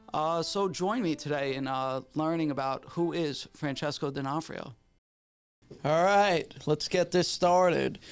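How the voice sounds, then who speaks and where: A man's fairly high voice with a New York accent, fairly slow, with ordinary pitch variation, in a very clean recording with a silent background. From New York City, Staten Island. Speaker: podcast host. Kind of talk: casual chat; show introduction.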